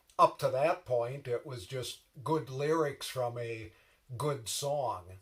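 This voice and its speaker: Speaking very slowly with an American accent, a man uses a medium-pitched, somewhat breathy voice with ordinary pitch variation. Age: 60s. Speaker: reflective speaker. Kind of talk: personal reflection.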